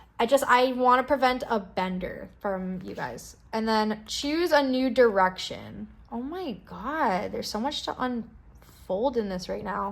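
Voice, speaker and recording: With an ordinary speaking voice, a woman talks at a fairly slow pace and fairly high pitch, with hardly any pauses. Her intonation is lively, and her loudness swings a lot. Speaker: tarot card reader. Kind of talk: pick-a-card tarot reading. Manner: casual, filler-heavy.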